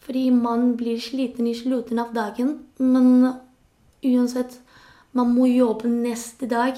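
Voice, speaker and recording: Dark and mellow in tone, the voice moves at a very slow pace. Its intonation is monotone and flat. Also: woman. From Spain. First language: Spanish (speaking Norwegian). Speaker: nurse, labour migrant. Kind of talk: interview.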